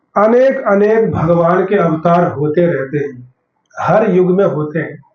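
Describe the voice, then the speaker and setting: In a room with audible echo, a man speaks very slowly at a high pitch with lively intonation. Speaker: religious lecturer. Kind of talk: sermon.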